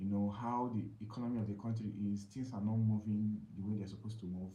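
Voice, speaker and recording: A man speaks in a fairly low, somewhat breathy voice with a dark, mellow tone. His intonation is fairly even, and the room echo is audible. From Nigeria, Imo State. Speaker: live streamer, weight loss vlogger. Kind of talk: casual live stream talk. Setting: live stream. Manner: halting, many fillers.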